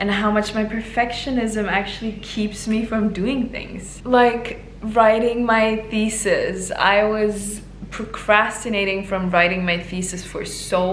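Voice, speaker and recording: A woman with a non-native accent speaks at a fairly slow pace, her fairly high voice held to fairly even intonation, with audible room echo and noticeable background noise. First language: not English. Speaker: vlogger and aspiring yoga teacher. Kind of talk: casual vlog talk.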